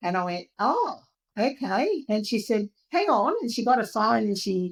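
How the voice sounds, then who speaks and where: Speaking with an Australian accent, a woman uses a fairly high pitch at a fairly slow pace. The sound is dry and close with no echo. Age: 60s. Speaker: patient sharing her health story. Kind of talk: podcast interview.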